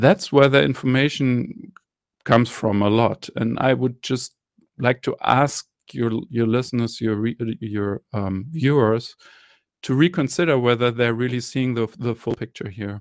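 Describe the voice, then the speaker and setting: In a German accent, a man talks at a fairly slow pace with a medium pitch and ordinary pitch variation, in a dry, close sound with no echo. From Germany. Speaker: journalist and media entrepreneur. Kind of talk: interview. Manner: halting, many fillers.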